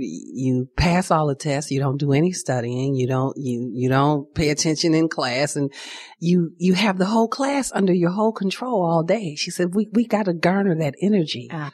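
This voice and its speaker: With an American accent, a woman speaks at a moderate pace in a fairly low pitch with lively intonation. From Chicago. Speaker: theater founder and director. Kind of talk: interview.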